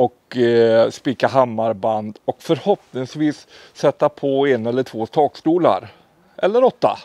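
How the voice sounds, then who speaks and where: Against a quiet background, a man speaks at a fairly slow pace with lively intonation. The sound is dry, with no echo. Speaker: hobby builder vlogger. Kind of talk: casual vlog chat. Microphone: lapel.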